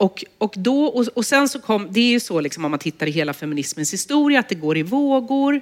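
A woman's voice with very wide pitch swings, a moderate pace and noticeable background noise. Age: 40s. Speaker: journalist and author. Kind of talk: public conversation. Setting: stage with audience.

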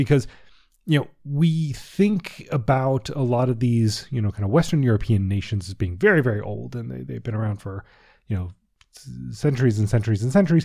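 A man with an American accent speaks at a medium pitch and a fairly quick pace, his tone dark and mellow and somewhat breathy. His intonation is lively, his loudness swings widely, and the recording is very clean with a silent background. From US, Washington D.C. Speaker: history podcast host. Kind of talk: casual commentary; scripted narration.

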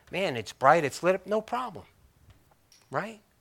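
A man speaks at a moderate pace in a bright, sharp, animated tone with lively intonation. The recording is very clean, with a silent background. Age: 50s. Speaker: pastor. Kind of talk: sermon.

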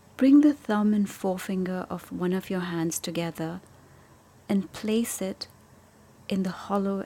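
A woman speaks in a gentle, calm tone at medium pitch. Her voice is dark and mellow. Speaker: meditation teacher. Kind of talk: guided meditation. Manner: slow, calm and soothing, with long pauses; gentle, soft-spoken.

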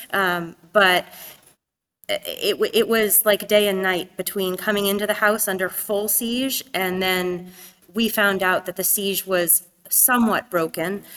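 This woman's voice sits at a medium pitch with a bright, sharp tone. Her intonation is monotone and flat. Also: fairly slow pace. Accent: American. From US, New Hampshire. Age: 30s. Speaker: activist and former teacher. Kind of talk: interview. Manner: halting.

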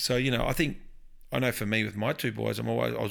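Speaking very fast with an Australian accent, a man is heard on a very clean recording with a silent background. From Victoria, Australia. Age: 40s. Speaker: pastor. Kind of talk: casual interview. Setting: lounge room.

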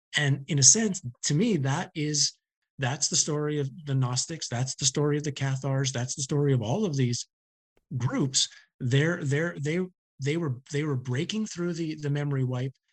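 A somewhat breathy man's voice with a fairly high pitch. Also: ordinary pitch variation, moderate pace. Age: 50s. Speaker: author. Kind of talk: interview.

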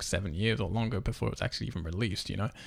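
A man speaks at a very fast pace with vocal fry. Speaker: podcast host. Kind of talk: casual chat; news reading. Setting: home dining room.

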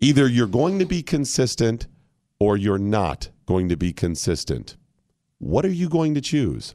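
A man with an American accent speaks at a fairly slow pace in a medium pitch, his loudness very even and his pitch swinging very widely, on a very clean recording with a silent background. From US Midwest, Ohio. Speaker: radio host. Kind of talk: casual chat. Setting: studio. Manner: animated.

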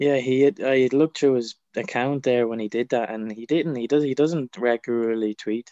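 With an Irish accent, a man of medium pitch talks at a moderate pace with fairly even intonation, his tone dark and mellow in a dry, close sound with no echo. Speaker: pro wrestler. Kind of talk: casual chat.

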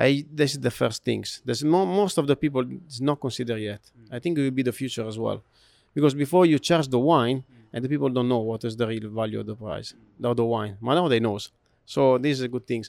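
In an Italian accent, a man talks at a fairly quick pace and medium pitch with ordinary pitch variation, the very clean recording dry and close with no echo and a silent background. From Italy. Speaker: hotel food and beverage director. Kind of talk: interview. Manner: halting.

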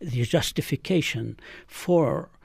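A man speaks in an Arabic accent, his voice somewhat breathy. His pitch swings very widely. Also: very clean recording, silent background. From Galilee, Israel (Palestinian). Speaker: physician and author. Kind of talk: interview.

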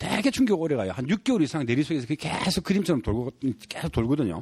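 A man with a Gyeongsang accent talks at a fairly quick pace, his pitch swinging very widely. His tone is dark and mellow, with vocal fry. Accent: Gyeongsang Korean. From South Korea, Gyeongsang region. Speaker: photographer and author. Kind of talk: casual chat.

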